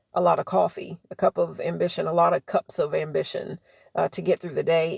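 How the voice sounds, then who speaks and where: The sound is dry and close, without any echo. A woman speaks at a moderate pace. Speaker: livestreamer. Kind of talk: casual live stream chat. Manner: hesitant, many fillers.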